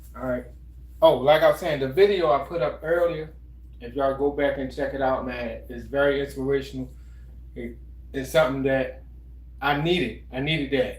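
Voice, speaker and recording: Audible room echo surrounds a man who speaks at a moderate pace with big swings in loudness and long, frequent pauses. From Baltimore. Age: 50s. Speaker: fitness livestreamer. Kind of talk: casual livestream chat. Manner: relaxed, halting with fillers.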